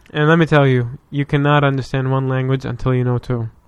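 A man's medium-pitched voice with an Arabic accent. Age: 20s. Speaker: podcast guest. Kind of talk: casual chat.

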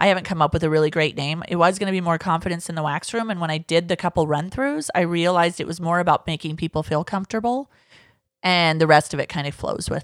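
A woman's fairly low voice at a very fast pace, on a very clean recording with a silent background. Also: ordinary pitch variation, dry, close sound with no echo. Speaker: podcast host. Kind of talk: casual chat.

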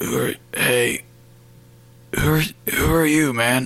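A man puts on a raspy character voice at medium pitch.

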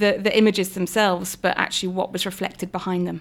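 A woman speaks at a medium pitch in a British accent with monotone, flat intonation. The recording is very clean, with a silent background. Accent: regional UK. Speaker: political party deputy leader. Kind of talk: interview.

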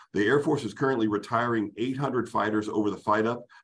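Here is an unremarkable speaking voice with ordinary pitch variation. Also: man. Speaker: retired air force general and fighter pilot. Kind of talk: policy briefing presentation.

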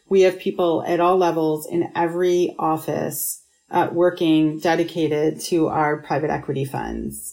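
Music sits in the background as a woman speaks at a fairly low pitch with monotone, flat intonation. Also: moderate pace. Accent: American. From Pittsburgh and Rochester, New York, US. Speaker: management consultant. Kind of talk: interview.

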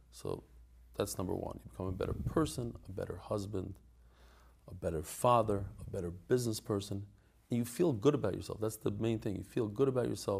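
A man with an American accent speaks fairly quickly in a fairly low pitch, with vocal fry and ordinary pitch variation. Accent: American English with Yeshivish tinge. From US Northeast. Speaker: Daf Yomi teacher. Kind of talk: interview conversation. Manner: casual, hesitant with fillers.

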